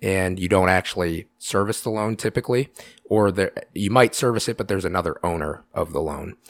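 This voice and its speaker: An unremarkable speaking voice from a man with an American accent, fairly low pitch and ordinary pitch variation, on a very clean, dry, close recording with a silent background and no echo. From Iowa City, Iowa. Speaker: bank lender. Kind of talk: interview.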